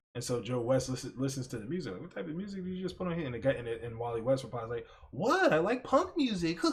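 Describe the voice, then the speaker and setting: Very fast and animated, a man speaks at medium pitch with lively intonation and hardly any pauses. Noticeable background noise sits behind him. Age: 30s. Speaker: podcast host. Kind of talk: casual chat. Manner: rambling with many fillers.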